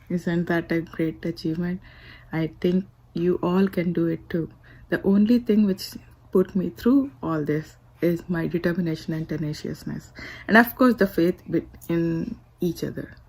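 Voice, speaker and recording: A somewhat breathy woman, fairly low-pitched, at a moderate pace with ordinary pitch variation, big swings in loudness and long, frequent pauses. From India. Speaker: motivational speaker. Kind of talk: inspirational speech.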